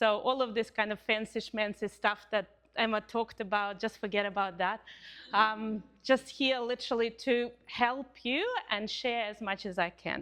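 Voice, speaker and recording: A woman with a Russian accent, fairly even in intonation, at a moderate pace. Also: fairly high pitch for a woman. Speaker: couples counsellor and university lecturer. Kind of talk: community talk. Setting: Pilates studio with live audience.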